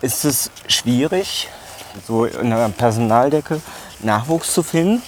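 A man at a very slow pace with long, frequent pauses, lively intonation and very even loudness, amid noticeable background noise. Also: medium pitch for a man. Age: 40s. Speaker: podcast host. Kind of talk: casual chat. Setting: outdoors, walking through a zoo.

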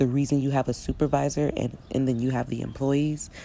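A woman's very deep, low-pitched voice, animated in tone, at a moderate pace. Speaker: podcast host. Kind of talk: angry rant about men and women. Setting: outdoors.

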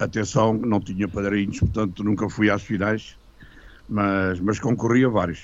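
Fairly slow pace and fairly even intonation in an ordinary speaking voice. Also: man, fairly low pitch for a man. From Portugal, Lisbon. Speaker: retired music teacher and composer. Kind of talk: radio interview.

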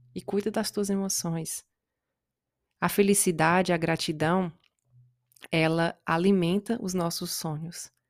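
The speaker moves at a fairly slow pace with fairly even intonation and long, frequent pauses. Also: woman, fairly low pitch for a woman. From Brazil. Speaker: podcast host, self-development coach. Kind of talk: solo motivational talk.

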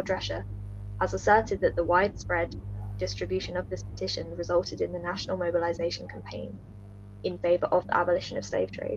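A woman speaks at a very fast pace. Noticeable background noise runs beneath her voice. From Bristol, England. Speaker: history student. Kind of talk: casual chat; scripted narration.

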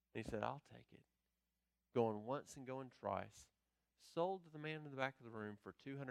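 A man's medium-pitched voice at a moderate pace, with ordinary pitch variation, big swings in loudness, long, frequent pauses, and a dry, close sound with no echo. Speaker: pastor. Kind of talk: sermon. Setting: church.

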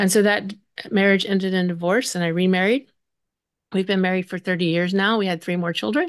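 At a fairly quick pace, a woman speaks at medium pitch with fairly even intonation. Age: 60s. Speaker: grief coach and author. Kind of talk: interview conversation. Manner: hesitant with fillers.

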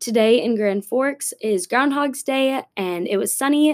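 In a very clean recording with a silent background, a woman with an American accent uses a normal speaking voice, a fairly slow pace and ordinary pitch variation. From Minnesota, Minneapolis area. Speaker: university student. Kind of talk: scripted student podcast monologue.

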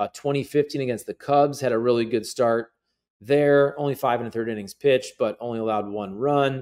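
Speaking at a medium pitch with fairly even intonation and a moderate pace, a man has a plain, everyday voice on a very clean recording with a silent background. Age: 40s. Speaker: sports podcaster. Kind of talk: casual commentary monologue.

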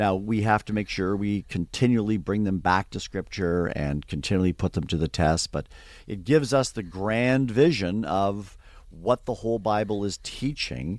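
The speaker has a southern Ontario accent and lively intonation. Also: man, very clean recording, silent background. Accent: Canadian (southern Ontario). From Canada, near Toronto. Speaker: theology professor. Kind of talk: interview.

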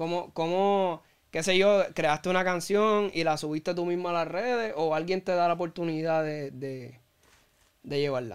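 In a very clean recording with a silent background, a man with a high pitch speaks at a fairly slow pace and with ordinary pitch variation. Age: 20s. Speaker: podcast host. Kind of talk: interview. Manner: halting.

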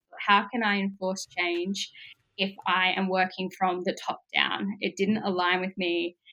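With an Australian accent, a woman speaks at a medium pitch and a fairly slow pace, her tone bright and sharp and her intonation monotone and flat. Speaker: social work student. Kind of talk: interview.

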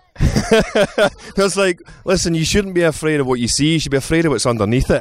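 With a Glaswegian accent, a man talks at a fairly quick pace in a high pitch with lively intonation, over noticeable background noise. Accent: Glaswegian Scottish. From Scotland, Glasgow. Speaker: actor. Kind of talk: casual chat.

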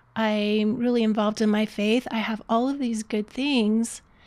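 An ordinary speaking voice from a woman, fairly high in pitch, at a moderate pace with fairly even intonation, in a very clean recording with a silent background. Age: 60s. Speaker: life coach. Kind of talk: casual interview.

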